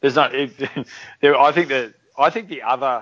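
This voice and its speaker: A man with an Australian accent. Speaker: podcast co-host. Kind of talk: casual chat.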